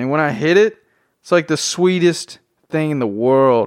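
A man speaks in a fairly high pitch with ordinary pitch variation. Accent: Southern US. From Tennessee. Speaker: podcast host. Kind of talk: casual solo podcast monologue. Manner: casual, unscripted and rambling.

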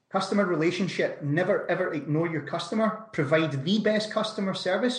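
There is audible room echo as a man talks. He has a Scottish accent and ordinary pitch variation. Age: 30s. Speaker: entrepreneur. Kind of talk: interview.

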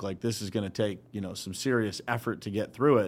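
An unremarkable speaking voice from a man with an American accent, medium pitch and a fairly quick pace, on a very clean recording with a silent background. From Western Pennsylvania, Uniontown. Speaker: business founder. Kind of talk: casual interview. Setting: studio.

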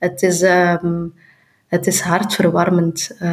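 A woman is speaking. She has a Flemish accent. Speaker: politician and author. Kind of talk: interview. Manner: halting.

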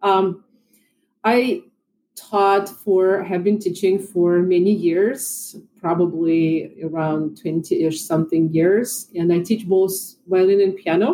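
A woman with a Russian accent speaks very slowly in a dark, mellow tone at very even loudness. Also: medium pitch for a woman, ordinary pitch variation. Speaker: violin and piano teacher. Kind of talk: casual chat.

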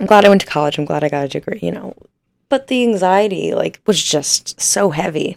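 A woman with a Midwestern accent speaks at a fairly quick pace, her medium pitch carrying lively intonation and vocal fry. The sound is dry and close, with no echo. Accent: US Midwest (Ohio). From northern Ohio, US. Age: 20s. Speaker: podcast host. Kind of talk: casual solo chat. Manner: animated.

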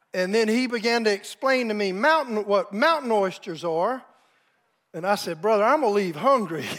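At a moderate pace, a man with a Southern US accent talks at a high pitch with lively intonation. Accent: Southern American. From US South, South Carolina. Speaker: pastor. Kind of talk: storytelling; sermon.

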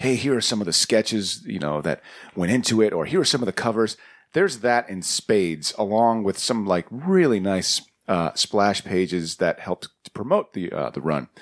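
Using a plain, everyday voice, a man with an American accent speaks at a moderate pace with lively intonation and fairly low pitch, the sound dry and close with no echo. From Queens, New York. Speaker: podcast co-host. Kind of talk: casual chat.

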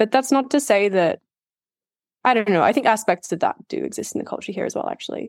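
A woman talks at a very fast pace, her fairly high voice showing vocal fry and very wide pitch swings. The sound is dry and close with no echo. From Australia. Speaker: freelance writer and researcher. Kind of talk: casual chat. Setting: remote call.

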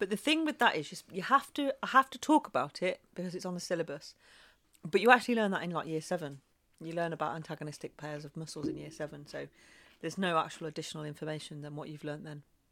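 A woman with an English accent, fairly low in pitch, at a very fast pace, with lively intonation and a bright, sharp tone, on a very clean recording with a silent background. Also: big swings in loudness. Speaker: former science teacher. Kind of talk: tutorial.

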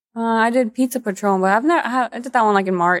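A woman at a very fast pace, the sound dry and close with no echo. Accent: American. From Texas, Corpus Christi. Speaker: model and actor. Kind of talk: casual interview.

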